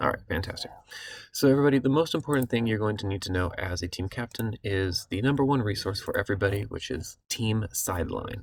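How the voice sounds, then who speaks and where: A somewhat breathy man with a fairly low pitch talks at a very fast pace. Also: lively intonation. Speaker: city recreation program coordinator. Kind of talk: online meeting presentation. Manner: hesitant fillers.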